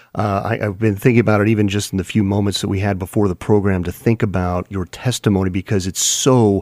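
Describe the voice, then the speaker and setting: In a normal speaking voice, a man with a fairly low pitch talks fairly quickly with fairly even intonation, on a very clean recording with a silent background and a dry, close sound with no echo. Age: 40s. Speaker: pastor and radio host. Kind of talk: religious radio talk and testimony. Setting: studio.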